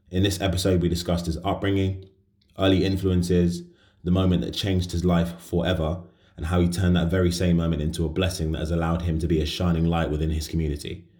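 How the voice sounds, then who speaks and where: Very deep and low, a man's dark, mellow, somewhat breathy voice runs at a very fast pace with monotone, flat intonation. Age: 20s. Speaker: podcast host. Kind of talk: casual interview chat; scripted intro and outro.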